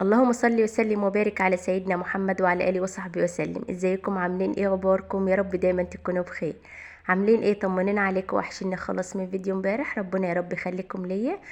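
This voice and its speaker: A woman's medium-pitched voice in an Egyptian accent, monotone and flat in intonation, with hardly any pauses. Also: fairly quick pace. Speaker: home vlogger. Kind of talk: casual vlog talk.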